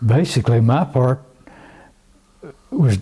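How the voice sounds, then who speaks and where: A man's dark, mellow, somewhat breathy voice at medium pitch with ordinary pitch variation and an Ozark accent. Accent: Southern US (Ozark). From US South, northwest Arkansas. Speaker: oral history interviewee. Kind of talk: oral history interview. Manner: halting, with repeated words.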